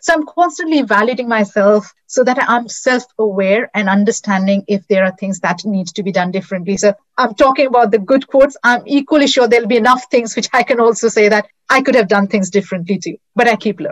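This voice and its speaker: A woman talks at a fairly quick pace with an Indian accent. Her pitch varies in an ordinary way. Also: fairly high pitch for a woman. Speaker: customer success executive. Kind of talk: interview.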